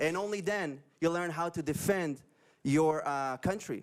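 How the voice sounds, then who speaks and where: A man's high-pitched voice with an Israeli accent, lively intonation, and a fairly quick pace. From Israel, Upper Galilee. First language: Hebrew. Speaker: pro-Israel video creator and former soldier. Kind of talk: interview. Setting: live stream.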